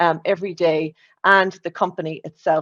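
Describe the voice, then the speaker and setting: A woman is heard against a quiet background. The sound is dry and close, with no echo. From Ireland, Limerick area. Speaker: corporate data executive, conference speaker. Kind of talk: conference talk.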